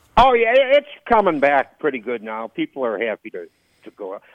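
Speaking with a Midwestern US accent, a man keeps a moderate pace. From rural Illinois. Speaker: comedian. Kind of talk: casual chat.

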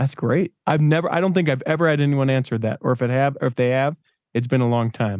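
This man talks at a very fast pace and medium pitch, with ordinary pitch variation and very even loudness, in a dry, close sound with no echo and a quiet background. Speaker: podcast host. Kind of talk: casual interview.

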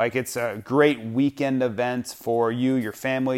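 Monotone, flat intonation from a man at medium pitch, in a very clean recording with a silent background. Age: 40s. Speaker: motocross podcast host. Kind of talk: sponsor read; casual solo commentary.

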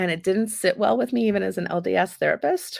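At a moderate pace, a woman speaks in a normal speaking voice. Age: 50s. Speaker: sex therapist. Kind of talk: interview.

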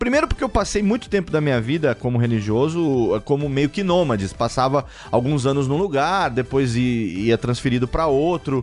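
Over music in the background, a man speaks with a fairly high pitch and lively intonation at a moderate pace. His loudness is very even, with hardly any pauses. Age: 40s. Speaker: podcaster. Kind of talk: casual chat.

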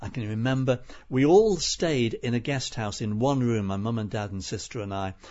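A man with a Liverpool accent talks at a moderate pace. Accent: Scouse (Liverpool). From Liverpool, England. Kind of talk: interview.

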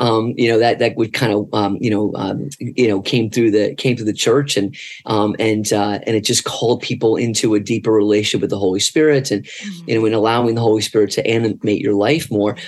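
A man with a plain, everyday voice at medium pitch, fairly even intonation, a fairly quick pace and hardly any pauses. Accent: American. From north New Jersey and Florida. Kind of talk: casual interview.

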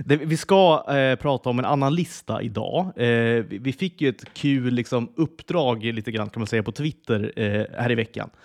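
In a dry, close recording with no echo and a quiet background, a man talks at medium pitch with ordinary variation. He keeps a moderate pace with hardly any pauses. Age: 30s. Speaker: podcast co-host. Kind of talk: casual chat.

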